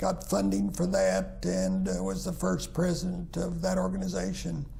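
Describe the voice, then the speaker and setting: A man with an American accent at a fairly slow pace, amid audible room echo and noticeable background noise. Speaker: retired minister. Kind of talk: interview. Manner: halting, many fillers.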